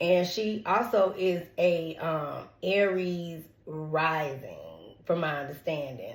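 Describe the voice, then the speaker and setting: A woman speaks with an American accent and ordinary pitch variation, her voice somewhat breathy. The room echo is audible. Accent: Southern US accent, commented on by viewers. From Atlanta, Georgia (College Park), US South. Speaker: tarot reader, celebrity gossip YouTuber. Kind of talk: casual chat, tarot reading. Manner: chatty, animated.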